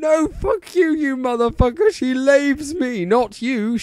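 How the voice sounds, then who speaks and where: A man shouts in a put-on character voice at an extremely high pitch. Light background noise sits behind him. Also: fairly slow pace. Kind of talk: crude, swearing. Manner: shouting, angry.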